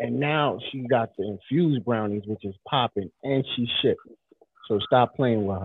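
A man's medium-pitched voice, with ordinary pitch variation, moves at a moderate pace. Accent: American. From Brooklyn, New York. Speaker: radio host. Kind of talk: casual banter, talk show. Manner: animated.

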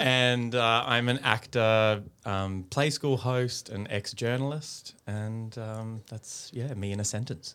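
In an Australian accent, a man with a bright, sharp tone speaks at a very slow pace, medium pitch and fairly even intonation. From Australia, Brisbane (Queensland). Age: 30s. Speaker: actor and children's TV presenter. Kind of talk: casual interview. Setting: studio.

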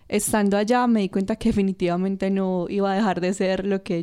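Her voice is medium in pitch, with a dark, mellow tone. The woman speaks at a fairly quick pace in a monotone, flat way. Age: 20s. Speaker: costume designer. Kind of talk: casual interview chat.

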